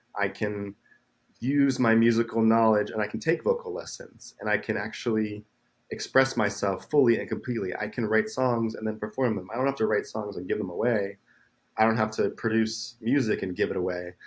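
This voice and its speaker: The speaker is a man at a fairly quick pace. His intonation stays fairly even. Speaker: musician. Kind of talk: interview.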